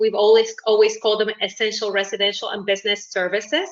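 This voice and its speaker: A woman's medium-pitched voice with a Uruguayan accent. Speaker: network marketing business owner. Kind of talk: self-introduction in video meeting. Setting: video call.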